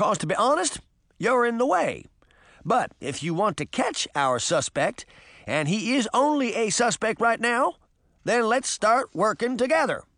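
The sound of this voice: A man puts on a character voice, high-pitched and fairly bright, with big swings in pitch at a fairly slow pace. The recording is very clean, with a silent background.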